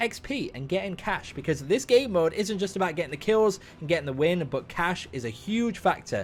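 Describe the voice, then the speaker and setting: At a fairly quick pace, a man with a high pitch sounds animated, his voice making very wide pitch swings. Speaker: gaming YouTuber. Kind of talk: gameplay commentary. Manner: fast.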